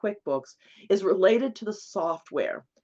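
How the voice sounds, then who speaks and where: Speaking fairly slowly, a woman uses a medium pitch and a plain, everyday voice. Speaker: bookkeeping instructor. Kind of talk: webinar lecture. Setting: online webinar.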